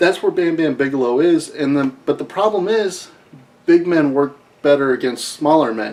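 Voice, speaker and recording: A man with a Midwestern accent, fairly high in pitch, at a moderate pace with ordinary pitch variation amid noticeable background noise. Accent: Midwest US. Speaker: wrestling recap host. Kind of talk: casual commentary monologue.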